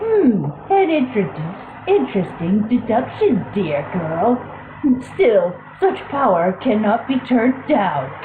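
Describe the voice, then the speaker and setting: A put-on character voice, female-sounding and fairly high in pitch, moves at a fairly slow pace with a slight echo and clear background noise. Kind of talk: villain theatrics. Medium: read story. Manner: haughty, condescending.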